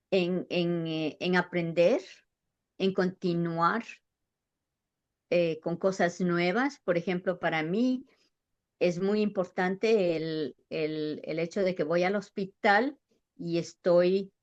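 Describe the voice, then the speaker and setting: A woman speaks at a very slow pace with a fairly low pitch. She leaves long, frequent pauses. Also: ordinary pitch variation, quiet background. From Ecuador. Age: 70s. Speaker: nurse and midwife. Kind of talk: interview answer.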